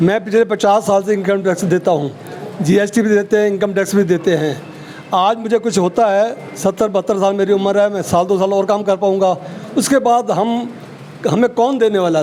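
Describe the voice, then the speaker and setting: Over noticeable background noise, a man with a high pitch speaks at a moderate pace. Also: very even loudness. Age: 70s. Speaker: shopkeepers' association general secretary. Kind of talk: interview.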